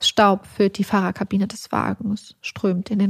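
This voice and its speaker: Somewhat breathy and at a medium pitch, a woman talks at a fairly slow pace with monotone, flat intonation. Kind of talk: true-crime narration, scripted reading of a story. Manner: tense, dramatic, vivid storytelling.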